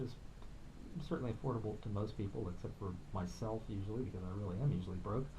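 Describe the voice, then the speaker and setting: A man talks at a very fast pace, his fairly low voice somewhat breathy. His pitch varies in an ordinary way, and audible room echo is present. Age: 60s. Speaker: musician and filmmaker. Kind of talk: radio interview. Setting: radio studio.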